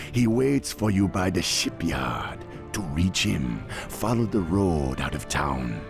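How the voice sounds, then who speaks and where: Over clear music in the background, a man puts on a very deep, low character voice and speaks at a fairly slow pace. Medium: machinima.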